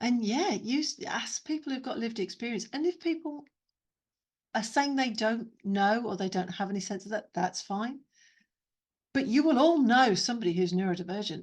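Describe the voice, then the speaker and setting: A woman speaks at a moderate pace in a fairly high, somewhat breathy voice with lively intonation against a quiet background. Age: 50s. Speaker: neurodiversity trainer and consultant. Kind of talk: webinar talk with Q&A. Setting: video call.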